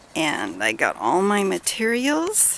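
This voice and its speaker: A woman whispers over noticeable background noise. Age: 60s. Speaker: home cook and DIY builder. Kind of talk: casual talk to camera.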